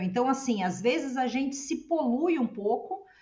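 A woman talks at a high pitch. Her voice moves in very wide pitch swings. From Brazil. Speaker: podcast co-host. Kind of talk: podcast interview.

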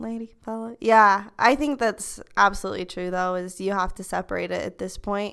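Speaking with an American accent, a woman uses a bright, sharp tone at a medium pitch, with ordinary pitch variation, a moderate pace, hardly any pauses and big swings in loudness. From Utah, US. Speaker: university student. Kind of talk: casual chat. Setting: library study room.

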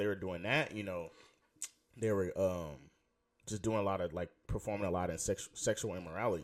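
Speaking with an American accent, a man has a fairly low pitch, ordinary pitch variation and an animated tone at a moderate pace. His long, frequent pauses come through on a very clean recording with a silent background. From Houston, Texas. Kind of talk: casual faith talk / testimony.

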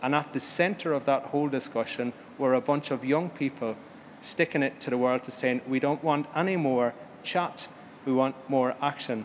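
Here a man speaks with a fairly high pitch. His pace is moderate and his intonation fairly even. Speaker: conference chairperson. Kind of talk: panel moderating at a conference. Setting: conference stage with audience. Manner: hesitant, repeats words.

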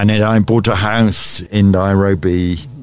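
A man with a British accent, fairly low in pitch, speaking at a moderate pace over background music. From born in Tanzania to a British colonial family, raised in Uganda. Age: 70s. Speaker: media executive and former journalist. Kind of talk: radio interview. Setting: studio.

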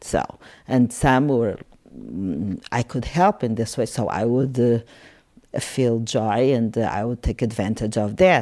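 Very clean with a silent background, the recording holds a woman's very deep, low voice, dark and mellow, with ordinary pitch variation at a very slow pace. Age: 50s. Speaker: psychiatrist. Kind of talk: casual interview conversation. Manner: halting, searching for words.

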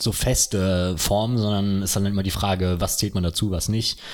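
On a very clean recording with a silent background, a man with a fairly low pitch talks at a moderate pace in a normal speaking voice. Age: 20s. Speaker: podcast co-host and university student. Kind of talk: casual chat.

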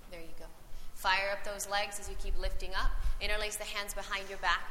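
A woman at a very fast pace in a monotone, flat intonation, amid noticeable background noise. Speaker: yoga teacher. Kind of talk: live guided yoga class instruction, cueing poses and breath. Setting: recorded live class with students in the room. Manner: calm, encouraging directives with gentle praise between cues.

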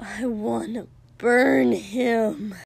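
Using a put-on character voice, a woman speaks at medium pitch. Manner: petulant hiss.

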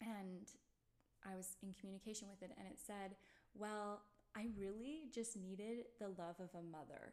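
A woman's medium-pitched voice with ordinary pitch variation and long, frequent pauses. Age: 20s. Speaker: doula and birth advocate. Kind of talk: casual chat.

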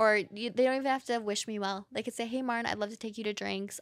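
An unremarkable speaking voice moves at a fairly quick pace. Its intonation stays fairly even. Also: woman. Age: 30s. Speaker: podcast host, dating content creator. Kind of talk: casual chat.

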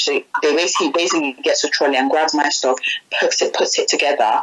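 A woman talks over noticeable background noise. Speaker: interviewee. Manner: casual, animated storyteller.

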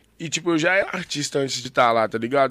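A man rushes along at a very fast pace, his pitch variation ordinary. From Belo Horizonte, Brazil. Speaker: slam poet. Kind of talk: casual chat.

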